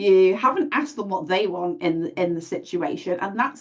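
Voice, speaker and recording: A woman with a British accent at a moderate pace, her pitch swinging very widely. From UK. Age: 40s. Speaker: event host and domestic abuse advocate. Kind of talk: panel discussion. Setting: live stream. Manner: halting.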